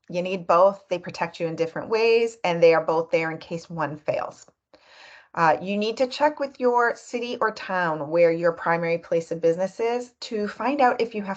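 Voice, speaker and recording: Woman at medium pitch with lively intonation and a moderate pace, over a quiet background. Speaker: business lawyer. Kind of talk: tutorial. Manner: animated.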